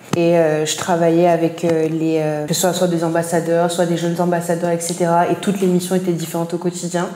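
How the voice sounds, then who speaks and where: At a fairly quick pace with hardly any pauses, a woman speaks in a fairly low, monotone and flat voice over noticeable background noise. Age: 20s. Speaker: marketing and branding professional. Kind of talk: interview. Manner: hesitant, many fillers.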